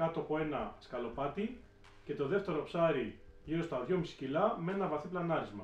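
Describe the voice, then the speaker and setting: A man speaks at a moderate pace, and audible room echo can be heard around him. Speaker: spearfishing instructor. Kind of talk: video introduction, narrated summary. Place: home room. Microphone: camera far.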